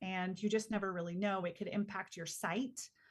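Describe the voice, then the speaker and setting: The woman's voice is somewhat breathy. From Peru, moved to the US at six. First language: Spanish. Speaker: communications consultant and business founder. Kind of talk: podcast interview. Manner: conversational, many fillers and restarts.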